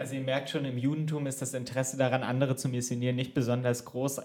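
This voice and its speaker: Noticeable background noise sits behind speech delivered very fast. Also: man. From Germany. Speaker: podcast co-host. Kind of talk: casual chat. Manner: animated.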